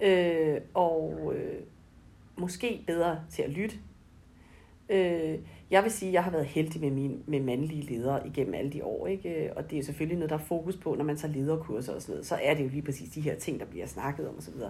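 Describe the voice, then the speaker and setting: Audible room echo colors this recording. A woman talks at a moderate pace. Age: 40s. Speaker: brand manager. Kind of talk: interview. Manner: hesitant, many fillers.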